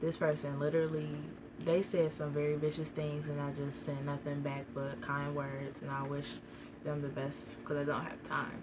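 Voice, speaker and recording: Soft-spoken and flat in a monotone, a woman with a very deep, low pitch talks at a moderate pace amid noticeable background noise and audible room echo. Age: young. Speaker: vlogger. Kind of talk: casual vlog monologue.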